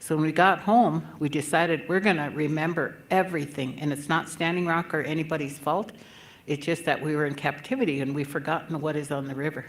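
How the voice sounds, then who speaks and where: A woman's very deep, low voice at a fairly quick pace, with fairly even intonation and audible room echo. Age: 70s. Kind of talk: conference speech.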